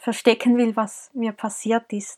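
The recording is dry and close with no echo as a woman with a fairly high pitch speaks at a moderate pace in monotone, flat intonation. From Switzerland, Zurich. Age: 20s. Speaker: podcast host and life coach. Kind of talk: personal monologue.

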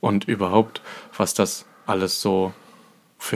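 A man's very deep, low-pitched voice in a monotone, flat intonation. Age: 20s. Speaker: dance competition judge and podcast co-host. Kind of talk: casual chat.

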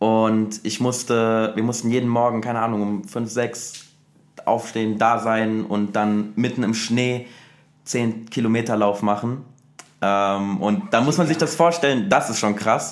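Fairly slow, fairly even speech from a man at medium pitch, with audible room echo. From Germany, Saarland. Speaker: dancer. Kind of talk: casual chat.

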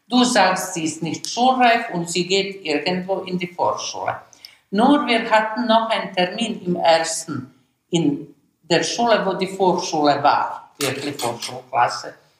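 Very slowly and with lively intonation, a woman speaks at a medium pitch in a non-native accent. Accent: German with foreign. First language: Serbo-Croatian (speaking German). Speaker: immigrant mother and teacher. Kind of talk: interview storytelling. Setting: at home.

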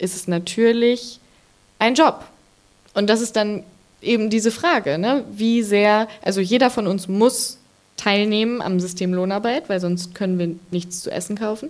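A woman speaks at a medium pitch and a fairly slow pace. Her pitch varies in an ordinary way. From Ruhr area, Germany. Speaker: author and journalist. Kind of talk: live stage interview. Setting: stage with audience.

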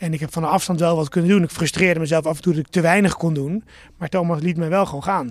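On a very clean recording with a silent background, a man talks at a very fast pace in a high pitch. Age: 40s. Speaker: shop owner. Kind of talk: interview. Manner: animated.

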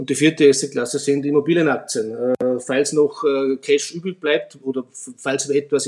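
This man has a normal speaking voice, fairly high in pitch, with fairly even intonation and a moderate pace. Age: 50s. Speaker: fund manager. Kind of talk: expert interview on investing.

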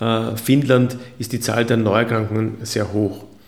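There is audible room echo around the voice. A man speaks at a medium pitch with monotone, flat intonation. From Austria. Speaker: physician. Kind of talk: interview. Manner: formal.

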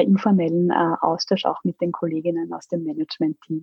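A woman's plain, everyday voice, with ordinary pitch variation, at a moderate pace. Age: 30s. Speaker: corporate spokesperson. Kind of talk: interview.

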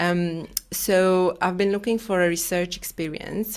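In a Romanian accent, a woman speaks at a moderate pace with fairly even intonation. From Romania, Bucharest. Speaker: paediatric gastroenterologist. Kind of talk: interview. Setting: video call.

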